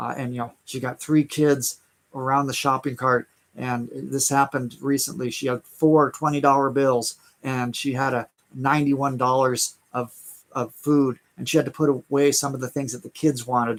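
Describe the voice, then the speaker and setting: With an American accent, a man speaks at a moderate pace in a medium pitch. His intonation is monotone and flat. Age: 60s. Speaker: online business coach. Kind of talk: live stream sales talk. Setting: live stream. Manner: halting, many fillers and repeats.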